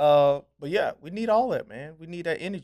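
Using lively intonation, a man with an American accent and an unremarkable speaking voice talks at a moderate pace. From US South. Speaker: pastor. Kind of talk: casual chat.

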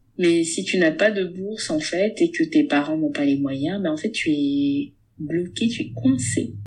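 At a fairly slow pace, a woman speaks in a fairly low pitch with lively intonation. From Gabon. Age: 30s. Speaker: book club founder and content creator. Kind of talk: casual interview. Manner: hesitant, with frequent fillers.

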